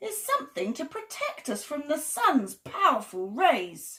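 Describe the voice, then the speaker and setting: In a put-on character voice, a woman speaks high, with very wide pitch swings and big swings in loudness. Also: moderate pace. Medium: read story. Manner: brisk, matter-of-fact.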